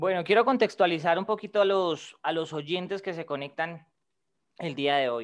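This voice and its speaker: A man speaks with a high pitch and ordinary pitch variation. His pace is moderate, and the background is quiet. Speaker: podcast co-host. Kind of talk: casual interview.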